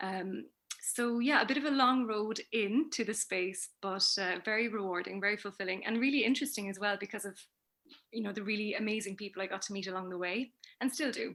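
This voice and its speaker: A woman speaks at a fairly quick pace in a normal speaking voice. Her pitch is medium, with ordinary pitch variation. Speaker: communication trainer and researcher. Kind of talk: interview.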